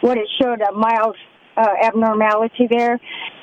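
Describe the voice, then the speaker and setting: A woman talks at a fairly slow pace over noticeable background noise. The sound is dry and close, with no echo. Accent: American. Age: 60s. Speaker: caller. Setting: phone call.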